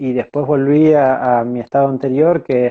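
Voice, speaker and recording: A man at a medium pitch and fairly slow pace, with ordinary pitch variation. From Argentina, Buenos Aires province countryside. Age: 30s. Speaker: horse trainer and rider. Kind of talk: interview. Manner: hesitant, many fillers.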